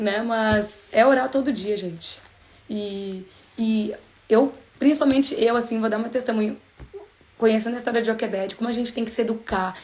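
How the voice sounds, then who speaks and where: Over noticeable background noise, a woman with a fairly high pitch talks at a moderate pace in an animated tone, leaving long, frequent pauses. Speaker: bible study teacher. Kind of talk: casual livestream bible study talk. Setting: live stream.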